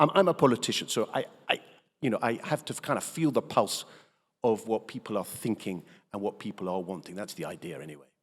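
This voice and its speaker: A man with a British accent and fairly low pitch speaks at a very fast pace, with very wide pitch swings and big swings in loudness, in a very clean recording with a silent background. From England. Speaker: politician. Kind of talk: keynote speech. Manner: hesitant, many fillers.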